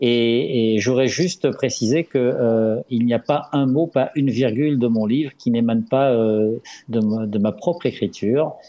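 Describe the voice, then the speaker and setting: A man with an unremarkable speaking voice talks at medium pitch and a fairly slow pace, with ordinary pitch variation and very even loudness. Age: 60s. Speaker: dentist and author. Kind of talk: radio interview. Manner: measured, formal.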